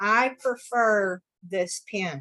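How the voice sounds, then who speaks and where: With a bright, sharp tone, a woman speaks at medium pitch with ordinary pitch variation. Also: dry, close sound with no echo. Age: 60s. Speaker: artist. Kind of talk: art demonstration over video call. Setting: video call. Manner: talkative, chatty.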